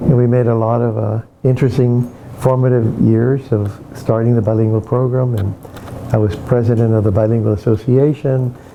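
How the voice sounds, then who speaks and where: A man's medium-pitched, monotone, flat delivery at a moderate pace, with noticeable background noise. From Texas border, Laredo. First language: Spanish. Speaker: retired bilingual educator. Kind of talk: oral history interview. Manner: halting.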